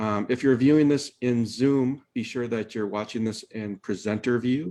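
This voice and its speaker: A man with a Midwestern accent at a moderate pace. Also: quiet background. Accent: Midwest American. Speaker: webinar host. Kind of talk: webinar introduction. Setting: video call. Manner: hesitant, many fillers.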